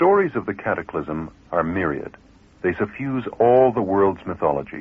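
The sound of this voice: A man's low voice with a slightly husky edge and big pitch swings. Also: moderate pace.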